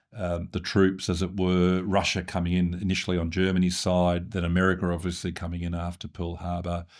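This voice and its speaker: Delivery is fairly quick with hardly any pauses, in an Australian accent with monotone, flat intonation. The recording is very clean, with a silent background. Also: man, very deep, low pitch for a man. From Australia, Sydney. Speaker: former senior public servant. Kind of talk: interview. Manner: hesitant, many fillers.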